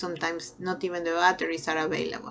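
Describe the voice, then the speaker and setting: Speaking very fast with a Peruvian accent, a woman has a fairly low pitch, with noticeable background noise behind her. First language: Spanish. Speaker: nursing lecturer. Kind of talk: lecture. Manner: halting with fillers.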